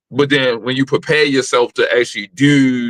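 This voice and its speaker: A man with a plain, everyday voice speaks at a medium pitch and a fairly slow pace. His intonation is fairly even, and the sound is dry and close with no echo. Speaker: podcast host. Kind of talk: casual interview chat.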